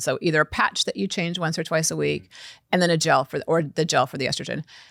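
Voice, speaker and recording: A woman speaks very fast with lively intonation, vocal fry and a fairly low pitch. The sound is dry and close with no echo, on a very clean recording with a silent background. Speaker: physician, women's health expert. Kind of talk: interview. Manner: halting, with repeated restarts.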